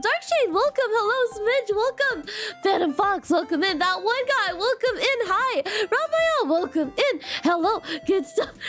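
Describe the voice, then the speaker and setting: A woman with an extremely high pitch and very wide pitch swings speaks at a moderate pace and very even loudness amid noticeable background noise. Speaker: vtuber streamer. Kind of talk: casual chat. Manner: animated.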